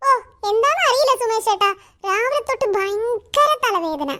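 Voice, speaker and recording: A woman's squeaky, cartoonish character voice at an extremely high pitch, with lively intonation and a fairly slow pace. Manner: impatient, exasperated.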